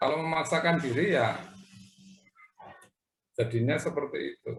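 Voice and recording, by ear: A man's fairly bright voice with vocal fry and ordinary pitch variation, in audible room echo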